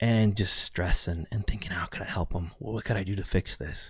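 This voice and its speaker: A man with a Californian accent speaks fairly quickly at a fairly low pitch, somewhat breathy and dark, mellow in tone. The recording is very clean with a silent background. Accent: General American, Californian. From central California. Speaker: podcast host, entrepreneur. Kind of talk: solo podcast monologue. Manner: casual, conversational.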